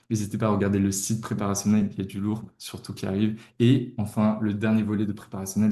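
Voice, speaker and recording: A man's voice sits fairly low in pitch with a dark, mellow tone. He speaks at a fairly quick pace. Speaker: tutoring company founder. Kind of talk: webinar presentation. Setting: livestream. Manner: hesitant, many fillers.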